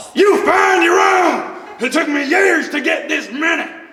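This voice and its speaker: A man shouts in a put-on character voice at an extremely high pitch and fairly slow pace, with clear echo and clear background noise. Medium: stage play.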